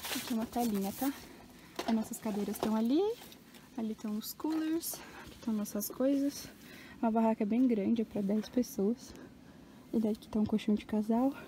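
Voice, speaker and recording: A woman at a moderate pace with ordinary pitch variation and long, frequent pauses, dry with no echo, over light background noise. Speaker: vlogger. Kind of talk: casual vlog chat. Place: open country. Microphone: phone near.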